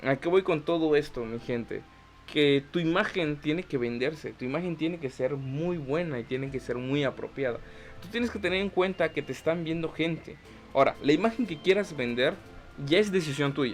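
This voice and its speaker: Over music in the background, a man speaks in a fairly high voice. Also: ordinary pitch variation. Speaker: podcast host. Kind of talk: vlog tutorial. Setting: talking to camera. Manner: fast.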